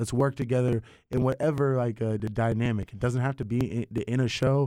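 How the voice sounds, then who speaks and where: With an ordinary speaking voice, a man talks at a medium pitch and a fairly quick pace with fairly even intonation in a very clean recording with a silent background. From eastern North Carolina (Greenville), born in Russia. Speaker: DJ and podcast host. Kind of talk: casual interview chat.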